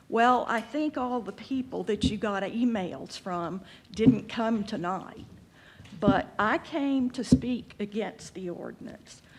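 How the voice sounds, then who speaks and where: A woman with an American accent, fairly high pitch, lively intonation, big swings in loudness and a very slow pace. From Texas. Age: 70s. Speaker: public commenter at city council, retired social worker. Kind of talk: public comment at council meeting.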